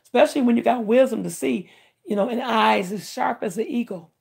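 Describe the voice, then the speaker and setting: Vocal fry runs through this woman's fairly high-pitched voice. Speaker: livestreamer doing tarot readings. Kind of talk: live stream chat with tarot reading. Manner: fast; animated.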